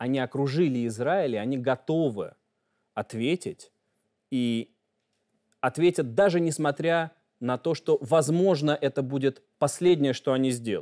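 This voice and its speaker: A man at a fairly slow pace, with long, frequent pauses, a dark, mellow tone and a quiet background. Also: ordinary pitch variation. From Russia. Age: 30s. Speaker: journalist. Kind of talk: interview. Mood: calm, assured. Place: studio. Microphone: lapel.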